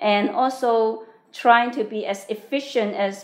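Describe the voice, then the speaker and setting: A woman with a Chinese accent, at a fairly slow pace. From China, Fujian province, then Hong Kong. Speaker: business executive. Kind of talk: interview. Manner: halting, with repetitions.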